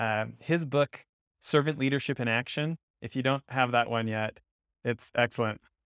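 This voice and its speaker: A man talks at a moderate pace with medium pitch and ordinary pitch variation. The sound is dry and close with no echo. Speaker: podcast co-host, investment firm founder. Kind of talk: interview conversation. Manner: enthusiastic.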